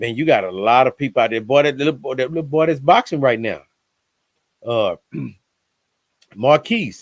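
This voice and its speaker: With an American accent, a man talks at a moderate pace in a fairly high pitch, his intonation lively, with long, frequent pauses and a dry, close sound with no echo. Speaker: podcast guest. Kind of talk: casual chat. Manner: animated.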